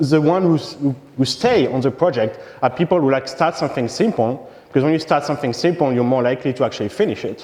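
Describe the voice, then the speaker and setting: A man with a French accent speaks very fast at a fairly high pitch with ordinary pitch variation, against noticeable background noise. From France. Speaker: software engineer, conference speaker. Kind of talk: conference talk. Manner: halting, many fillers.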